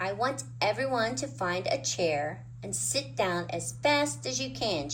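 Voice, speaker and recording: A put-on character voice at a fairly slow pace, with clear background noise behind it. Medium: read story.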